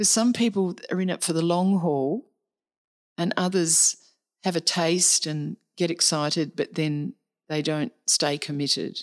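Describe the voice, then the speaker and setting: Dry and close with no echo, in a very clean recording with a silent background, a woman with an Australian accent speaks at a fairly low pitch with ordinary pitch variation. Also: fairly slow pace. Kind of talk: interview conversation. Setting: face-to-face at a retreat centre.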